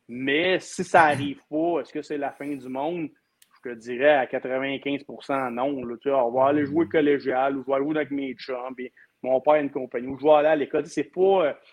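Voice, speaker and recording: With a Quebec accent, a man speaks at a moderate pace and a fairly high pitch, his intonation fairly even but his loudness swinging widely. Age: 40s. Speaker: hockey commentator. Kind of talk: casual chat.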